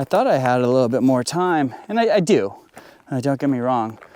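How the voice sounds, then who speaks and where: A man's voice at a moderate pace and medium pitch, with noticeable background noise. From United States. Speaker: landscape photographer. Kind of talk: casual vlog narration. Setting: outdoors. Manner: halting, many fillers.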